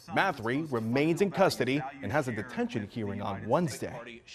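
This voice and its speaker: A normal speaking voice moves at a fairly quick pace. The intonation is lively. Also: man, medium pitch for a man. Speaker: news anchor. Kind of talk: TV news anchor read. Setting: studio.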